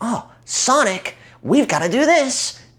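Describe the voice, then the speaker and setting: In a put-on character voice that sounds female, the speaker talks at a fairly slow pace with a high pitch. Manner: eager, earnest.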